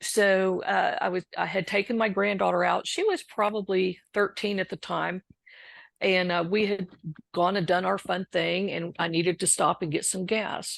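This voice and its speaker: Against a quiet background, a woman with an American accent talks at a moderate pace. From Texas. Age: 60s. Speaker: recovering alcoholic and author. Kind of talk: interview testimony.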